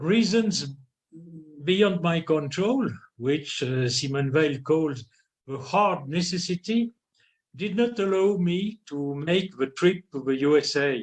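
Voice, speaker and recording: With a French accent, a man speaks very slowly in a high voice with lively intonation. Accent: non-native English, French. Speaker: philosophy scholar. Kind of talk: lecture read aloud. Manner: halting; formal.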